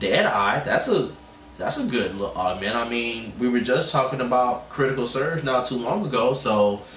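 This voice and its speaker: A man at a moderate pace and medium pitch, with audible room echo and noticeable background noise. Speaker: gaming streamer. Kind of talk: live game stream tutorial. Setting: livestream. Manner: halting, repetitive fillers; animated.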